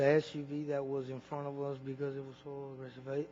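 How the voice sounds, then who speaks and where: A man with an American accent, fairly high-pitched, at a moderate pace. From Arizona, US. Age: 20s. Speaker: witness testifying at a hearing. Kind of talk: testimony. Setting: committee hearing room. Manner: halting, with repeated words.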